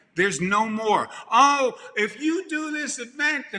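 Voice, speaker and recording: This man's voice sits extremely high, and he speaks in a Brooklyn accent. His tone is animated and his voice is raised and projected. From Brooklyn, New York. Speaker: event industry speaker. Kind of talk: motivational speech.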